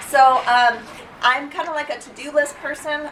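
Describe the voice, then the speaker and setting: The speaker has a slight Canadian accent, with audible room echo and noticeable background noise. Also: woman. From Canada. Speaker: dental hygiene instructor. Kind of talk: lecture. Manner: casual, many fillers.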